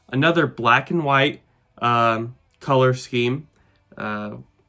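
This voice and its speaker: A man talks at a very slow pace. His tone is bright and sharp. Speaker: logo-ranking YouTuber. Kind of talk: casual video commentary. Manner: halting with many fillers.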